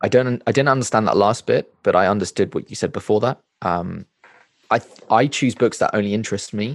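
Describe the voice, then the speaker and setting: An unremarkable speaking voice from a man, medium in pitch, with ordinary pitch variation, a fairly quick pace, and a dry, close sound free of echo. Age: 20s. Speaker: book reviewer and content creator. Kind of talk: casual interview.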